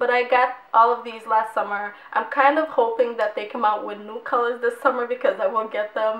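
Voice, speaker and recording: A woman with a fairly high voice talks at a moderate speed while noticeable noise fills the background. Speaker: beauty vlogger. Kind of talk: product review vlog. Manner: casual, chatty.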